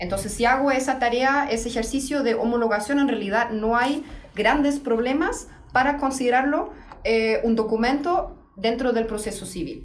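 Amid noticeable background noise and audible room echo, a woman with a high pitch speaks in a German accent. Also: ordinary pitch variation, moderate pace. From Germany. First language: German (speaking Spanish). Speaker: legal researcher. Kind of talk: interview. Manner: halting.

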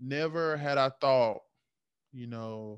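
A man at a medium pitch with ordinary pitch variation, against a quiet background. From United States. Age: 20s. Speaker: podcast co-host. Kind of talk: casual chat.

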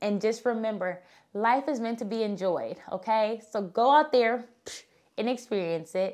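On a very clean recording with a silent background, a woman with a fairly high pitch talks at a moderate pace in an animated tone with ordinary pitch variation. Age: 30s. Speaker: travel podcast host. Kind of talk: casual monologue.

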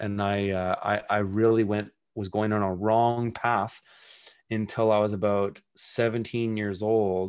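Against a quiet background, a man with a fairly low pitch speaks at a fairly slow pace in a monotone, flat intonation. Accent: Western Canadian. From Canada, British Columbia (Kelowna). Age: 40s. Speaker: urban farmer and author. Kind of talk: casual interview chat.

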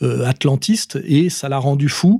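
A man speaks at a fairly high pitch with ordinary pitch variation, sounding somewhat breathy with a dark, mellow tone. The recording is dry and close, with no echo. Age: 50s. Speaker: political commentator. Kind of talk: monologue answering voicemail questions. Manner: hesitant, many fillers.

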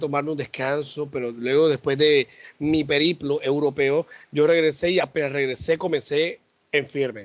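The man has an unremarkable speaking voice with a fairly high pitch. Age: 40s. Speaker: podcast co-host. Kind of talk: casual chat.

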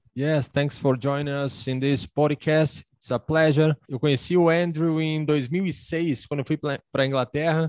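With a Brazilian accent, a man talks at a moderate pace in a fairly high voice and fairly even intonation, the sound dry and close with no echo. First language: Portuguese. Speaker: podcast host. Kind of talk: casual chat.

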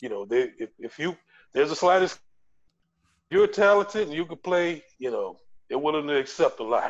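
With lively intonation and a high pitch, a man speaks with big swings in loudness and long, frequent pauses. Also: moderate pace. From US Gulf South. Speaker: podcast co-host. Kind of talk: casual chat.

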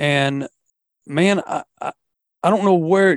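In a Southern US accent, a man talks at a fairly slow pace with ordinary pitch variation, the sound dry and close with no echo. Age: 50s. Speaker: fishing podcast host. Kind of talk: casual chat.

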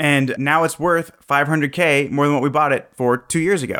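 Using an ordinary speaking voice, a man talks at a moderate pace and fairly high pitch, with fairly even intonation. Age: 20s. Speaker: real estate investor and entrepreneur. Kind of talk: interview.

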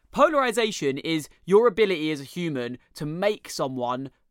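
Very clean and set against a silent background, a man with a British accent talks in a bright, sharp tone at a fairly high pitch, animated and enthusiastic, with lively intonation. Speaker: podcast host. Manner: animated, enthusiastic intro.

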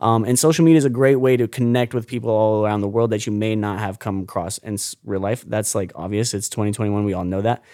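On a very clean recording with a silent background, a man with an American accent speaks at a very fast pace with hardly any pauses, his fairly low voice dark and mellow, with ordinary pitch variation. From Florida, St. Petersburg. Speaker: ocean activist and social media creator. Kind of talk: casual interview. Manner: animated, expressive.

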